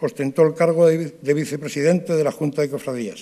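Here a man speaks at a moderate pace with a fairly high pitch. His tone is dark and mellow against a quiet background. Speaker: president of the brotherhoods council. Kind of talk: formal speech. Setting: theatre stage with audience. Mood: solemn, emotive. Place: stage. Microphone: podium.

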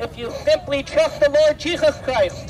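A man speaks at a fairly slow pace as background music plays. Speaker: street preacher. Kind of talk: street preaching. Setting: outdoors. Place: street. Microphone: headset.

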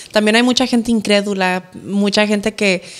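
A woman at a medium pitch, monotone and flat, fairly slow, over a quiet background. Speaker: influencer, podcast guest; podcast guest. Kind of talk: casual chat, interview. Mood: relaxed, smiling. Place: studio. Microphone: studio mic.

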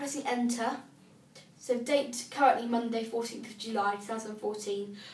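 Speaking with a British accent in a fairly high voice, a woman keeps a moderate pace with long, frequent pauses, fairly even intonation and big swings in loudness, in a room with audible echo. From UK. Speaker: assistive technology demonstrator; braille device user demonstrating. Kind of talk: tutorial. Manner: casual, hesitant with fillers. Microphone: phone near.

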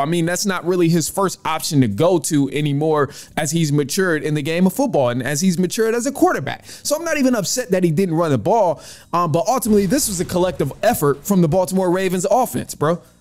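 Very fast speech from a man with lively intonation and hardly any pauses, over a quiet background. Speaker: podcast host. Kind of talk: sports commentary. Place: home room. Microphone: studio mic.

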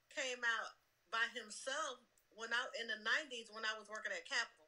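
Projecting a raised voice with a bright, sharp tone, a woman speaks at a moderate pace in an American accent. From US South. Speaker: music industry executive. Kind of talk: casual interview. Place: home room. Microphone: video call.

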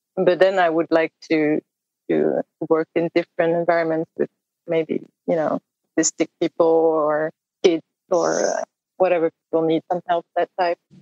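A woman with a French accent, fairly low pitch and monotone, flat intonation, at a moderate pace with long, frequent pauses, in a dry, close sound with no echo. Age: 30s. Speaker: indie musician. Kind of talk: casual interview chat. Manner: halting, searching for words.

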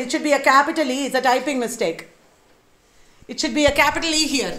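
A woman in a Keralan accent, with ordinary pitch variation, over a quiet background. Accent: Indian English (Malayali). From India, Kerala. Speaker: lecturer. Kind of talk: lecture. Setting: university workshop with live audience. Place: classroom.

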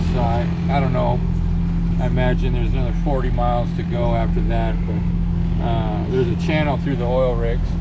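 Fairly slow speech under loud background noise. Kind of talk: casual vlog chat. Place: boat. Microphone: phone near.

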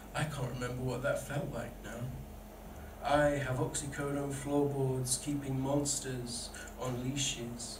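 The delivery is at a fairly slow pace with monotone, flat intonation. Noticeable background noise runs underneath. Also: man. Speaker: poet. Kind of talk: spoken word poetry performance, read aloud from the page. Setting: stage with live audience at a pub event. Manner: earnest, vulnerable and deliberate, with emotional weight. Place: bar. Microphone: camera far.

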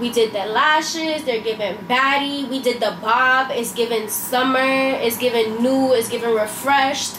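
Against noticeable background noise, a woman speaks in a high voice at a fairly slow pace with fairly even intonation. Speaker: beauty vlogger. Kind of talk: casual vlog chat. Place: kitchen. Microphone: camera far.

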